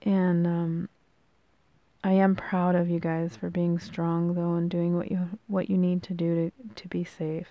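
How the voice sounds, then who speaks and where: With a dark, mellow tone, a woman speaks at a fairly slow pace in a fairly low pitch, her intonation monotone and flat. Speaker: podcast host, spiritual encourager. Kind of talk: motivational monologue. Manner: casual, many filler ums.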